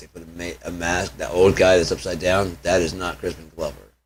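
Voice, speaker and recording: Vocal fry marks speech delivered at a fairly quick pace. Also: man. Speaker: YouTuber / livestreamer. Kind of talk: casual solo livestream chat. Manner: fast; animated.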